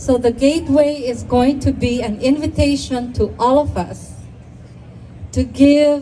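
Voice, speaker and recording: Amid noticeable background noise, a woman talks at a very slow pace. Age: 70s. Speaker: community leader. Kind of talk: ceremony speech. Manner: halting.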